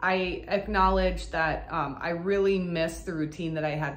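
A woman's very deep, low voice with vocal fry at a moderate pace, with audible room echo and light background noise. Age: 40s. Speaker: burlesque performer. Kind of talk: casual vlog update. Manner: hesitant, many fillers. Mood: reflective, calm. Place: home room.

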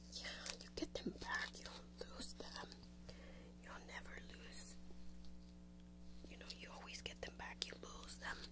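The speaker is soft-spoken with a soothing tone, heard over loud background noise. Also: woman. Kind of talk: casual gentle comforting talk. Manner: soft, soothing close-up voice. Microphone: webcam.

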